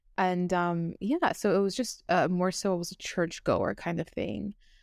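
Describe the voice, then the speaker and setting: A woman speaks at a medium pitch and a fairly slow pace in a plain, everyday voice. Her intonation stays fairly even, and the recording is very clean with a silent background. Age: 20s. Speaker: ex-new ager turned evangelist. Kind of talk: testimony.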